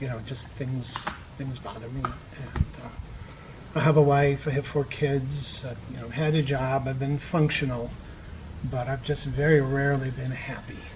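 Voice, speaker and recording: A man at medium pitch and moderate pace, monotone and flat, with noticeable background noise and audible room echo. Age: 60s. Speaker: retreat participant sharing depression recovery. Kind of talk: interview testimony. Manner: hesitant with many fillers.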